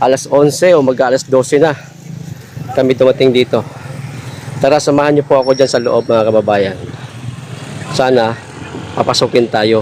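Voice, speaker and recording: A man speaks with very even loudness and fairly even intonation, leaving long, frequent pauses. Noticeable background noise runs underneath. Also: medium pitch for a man, moderate pace. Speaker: vlogger. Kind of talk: live vlog walkthrough. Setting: outdoors at night among sleeping supporters. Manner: lowered voice.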